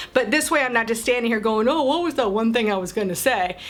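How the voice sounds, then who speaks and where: Noticeable background noise fills the clip. Over it, a woman talks. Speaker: motorsports marketing coach. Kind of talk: casual tutorial to camera. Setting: home office, talking to camera. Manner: conversational, stumbles on words.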